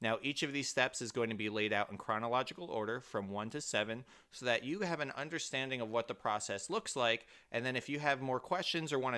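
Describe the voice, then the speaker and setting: A man talks at a very fast pace in a medium pitch with ordinary pitch variation and a bright, sharp tone, in a very clean recording with a silent background. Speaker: mortgage broker and real estate agent. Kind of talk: tutorial.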